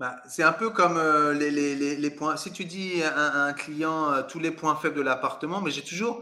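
In a normal speaking voice, the speaker moves at a moderate pace with ordinary pitch variation and hardly any pauses. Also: man, fairly high pitch for a man. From Paris suburbs, France. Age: 40s. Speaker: real estate adviser and coach. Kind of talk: interview.

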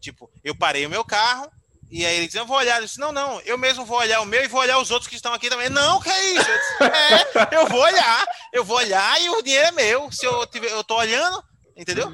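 A raised, projected voice at a fairly quick pace, swinging very widely in pitch. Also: man, extremely high pitch for a man. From Aracaju, Sergipe, Brazil. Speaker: YouTuber and digital strategist. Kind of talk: casual interview chat.

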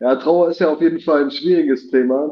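A man has a plain, everyday voice at a fairly high pitch. He speaks at a fairly quick pace with fairly even intonation. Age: 30s. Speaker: guest on live talk show. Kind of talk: casual chat.

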